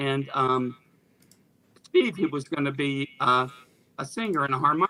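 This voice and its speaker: A man with an American accent speaks at a moderate pace and a fairly high pitch. His tone is bright and sharp, with ordinary pitch variation. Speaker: rock musician. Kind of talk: casual interview. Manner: halting, frequent fillers.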